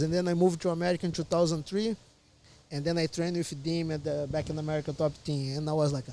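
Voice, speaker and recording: A man talks very fast in a Portuguese accent, his pitch fairly high. His intonation stays monotone and flat, and his tone is dark and mellow. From Brazil. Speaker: MMA fighter. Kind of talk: casual chat.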